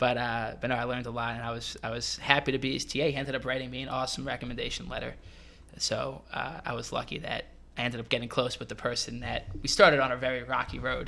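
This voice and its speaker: Very fast and monotone, a man talks in a New York accent with flat intonation at a medium pitch. His tone is bright and sharp, with vocal fry. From New York (Westchester). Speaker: hospitality manager. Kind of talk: casual chat.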